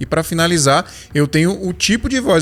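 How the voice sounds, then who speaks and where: Over music in the background, a man talks with lively intonation. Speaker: tech youtuber, podcaster. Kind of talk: product tutorial. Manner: casual, filler-heavy.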